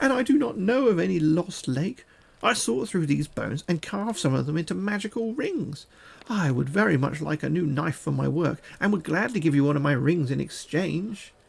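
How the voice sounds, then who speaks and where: Putting on a character voice, a man sounds sad, his fairly high pitch making very wide swings. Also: moderate pace. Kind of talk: simple, polite. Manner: sad, humble.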